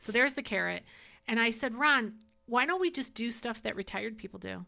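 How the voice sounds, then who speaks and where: Speaking at a fairly quick pace, a woman with a fairly high voice and a bright, sharp tone shows vocal fry and ordinary pitch variation in a very clean recording with a silent background. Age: 60s. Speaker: podcast host. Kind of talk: casual chat.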